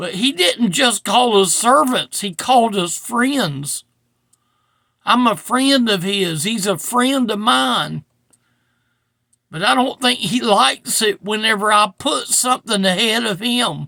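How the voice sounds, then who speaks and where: A man's high-pitched, bright and sharp voice, raised and projected, with lively intonation at a very slow pace, in a dry, close sound with no echo. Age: 60s. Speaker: preacher. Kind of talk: sermon. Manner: casual.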